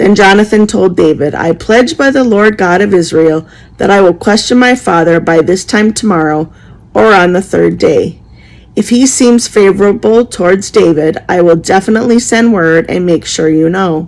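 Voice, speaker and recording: A woman puts on a raspy character voice at medium pitch. She holds a moderate pace and very even loudness. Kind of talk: scripture reading. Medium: solo performance. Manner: earnest, plain.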